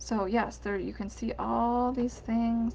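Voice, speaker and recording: A woman speaks at a fairly slow pace, her voice carrying audible room echo. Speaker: herbalist teacher presenting online courses. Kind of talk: casual presentation walkthrough. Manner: halting with fillers.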